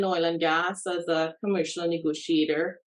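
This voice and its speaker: A woman with a Trinidadian accent speaks at a fairly slow pace and a fairly low pitch. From Trinidad and Tobago. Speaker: real estate agent. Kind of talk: webinar panel discussion.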